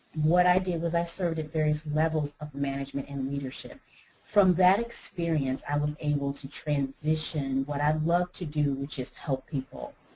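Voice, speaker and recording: A woman with an American accent speaks at a moderate pace in a very deep, low pitch. Her tone is dark and mellow, somewhat breathy, with fairly even intonation. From United States. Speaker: life coach. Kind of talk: interview. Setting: webinar.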